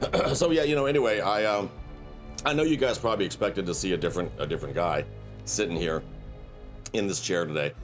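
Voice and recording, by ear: A man's low voice at a fairly quick pace, ordinary pitch variation, faint music in the background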